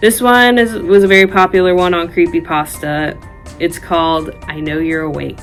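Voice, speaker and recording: A woman's medium-pitched voice at a moderate pace, ordinary pitch variation, music playing in the background. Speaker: horror storyteller and college student. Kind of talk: casual talk to camera.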